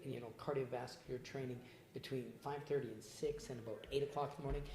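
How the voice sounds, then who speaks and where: A very fast, somewhat breathy male voice of medium pitch, dark and mellow in tone, with fairly even intonation and audible room echo. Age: 60s. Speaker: personal trainer and former pro boxer. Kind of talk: casual interview.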